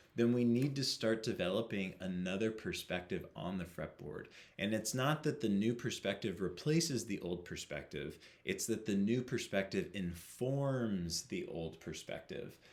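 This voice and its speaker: In a normal speaking voice, a man talks at a fairly low pitch and a moderate pace. His intonation is lively. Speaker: guitar teacher. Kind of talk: tutorial.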